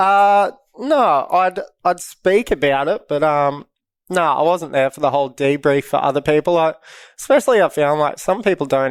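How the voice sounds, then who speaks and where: A man talks at a moderate pace in a fairly high pitch with an Australian accent. The recording is very clean, with a silent background. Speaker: professional bodyboarder. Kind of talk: casual chat. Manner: quiet, laid-back.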